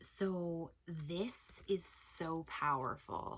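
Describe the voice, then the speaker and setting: Soft-spoken and fairly low in pitch, a woman talks with ordinary pitch variation. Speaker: beauty and home products vlogger. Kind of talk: casual vlog review.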